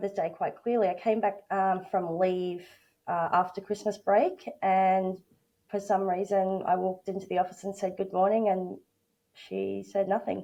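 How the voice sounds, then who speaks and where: With an Australian accent, a woman speaks at a medium pitch in a dark, mellow tone. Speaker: workplace bullying advocate and coach. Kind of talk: interview testimony. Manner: halting, many fillers.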